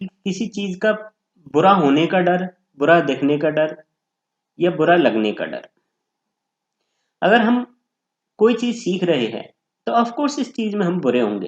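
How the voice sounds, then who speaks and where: The speaker is a man with a high pitch and very wide pitch swings. He leaves long, frequent pauses. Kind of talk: educational explainer talk to camera.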